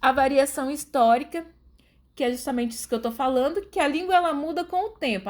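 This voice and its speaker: The speaker has lively intonation and an interior São Paulo accent. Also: woman. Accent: Brazilian caipira. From Brazil, Rondônia state. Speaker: guest expert, writer. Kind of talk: educational podcast interview.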